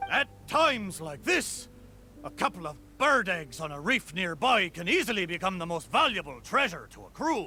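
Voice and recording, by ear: A man puts on a character voice pitched high, with a bright, sharp tone and big pitch swings, over faint music in the background. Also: moderate pace.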